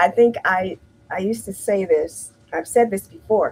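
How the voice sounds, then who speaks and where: A woman at a medium pitch, with an American accent, at a fairly slow pace, and an ordinary speaking voice. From US Midwest, Detroit, Michigan. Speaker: healthcare imaging manager. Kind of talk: casual interview chat. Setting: live-streamed interview.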